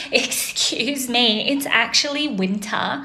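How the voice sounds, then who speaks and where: Amid noticeable background noise, a woman with an Australian accent speaks in an animated tone with ordinary pitch variation. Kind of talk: casual storytelling to camera.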